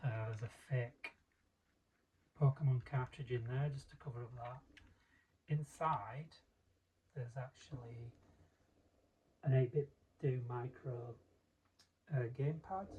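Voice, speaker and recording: Speaking with a Yorkshire accent, a man has a dark, mellow, somewhat breathy tone and fairly even intonation. He goes at a fairly slow pace with long, frequent pauses and big swings in loudness. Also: medium pitch for a man. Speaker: hobbyist maker. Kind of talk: casual talk to camera, gadget demo. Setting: home recording, poor sound. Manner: hesitant, casual.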